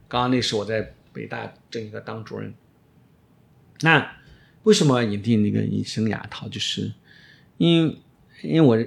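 The speech moves at a fairly slow pace, with big swings in loudness and long, frequent pauses. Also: man. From China, Shaanxi. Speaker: orthodontist. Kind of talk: interview.

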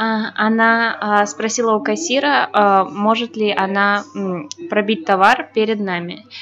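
Over noticeable background noise, a woman speaks very slowly at a fairly high pitch, with ordinary pitch variation. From Belarus. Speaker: language student. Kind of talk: casual chat. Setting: cafe. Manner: halting.

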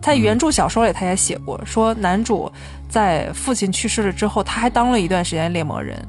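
Over music in the background, a woman talks at a fairly quick pace. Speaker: film podcast host. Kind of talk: casual chat. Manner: loud.

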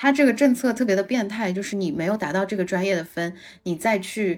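A woman speaks with lively intonation in a normal speaking voice, medium in pitch. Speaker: podcast co-host. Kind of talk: casual chat.

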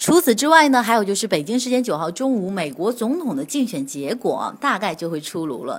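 A woman speaks at a fairly quick pace with vocal fry. Her fairly high voice swings very widely in pitch. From northern China. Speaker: financial radio host. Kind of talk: market news broadcast.

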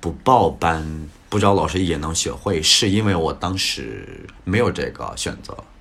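A man speaks at a very slow pace with a very deep, low pitch. There is audible room echo. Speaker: English teacher. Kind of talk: casual interview chat.

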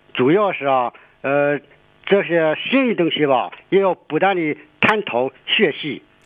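Here is a man with a plain, everyday voice, pitched fairly high. He talks at a fairly slow pace with lively intonation. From Shandong, raised from age 5. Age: 50s. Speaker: ride-hailing driver. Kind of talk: casual chat.

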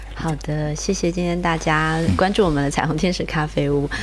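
A woman's fairly quick speech comes through noticeable background noise. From Taiwan. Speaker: charity founder. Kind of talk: interview.

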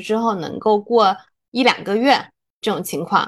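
With a quiet background, a woman speaks at a fairly high pitch and a very slow pace. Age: 30s. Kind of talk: casual chat.

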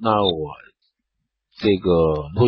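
Ordinary pitch variation marks this man's speech. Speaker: beauty and wellness podcast host. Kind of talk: health tips talk. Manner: halting with fillers. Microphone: phone recording.

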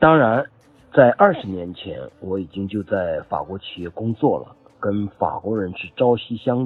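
Over music in the background, a man at medium pitch speaks at a fairly slow pace, with ordinary pitch variation and big swings in loudness. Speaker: French language student, wine importer. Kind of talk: testimony. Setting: group chat voice message. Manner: formal.

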